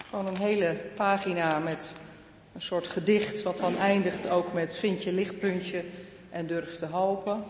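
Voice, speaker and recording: A woman at medium pitch with monotone, flat intonation and a fairly slow pace, with audible room echo and noticeable background noise. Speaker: pastor. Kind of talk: sermon. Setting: church.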